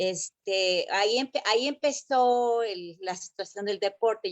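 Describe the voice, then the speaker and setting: Recorded dry and close with no echo, a woman speaks in a Mexico City accent with ordinary pitch variation. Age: 60s. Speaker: former Olympic gymnast. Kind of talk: interview. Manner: halting, many fillers.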